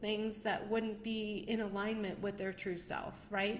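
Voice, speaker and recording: The speech comes at a fairly slow pace. Noticeable background noise and audible room echo are present. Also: woman. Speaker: numerologist and show host. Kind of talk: live stream talk. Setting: livestream.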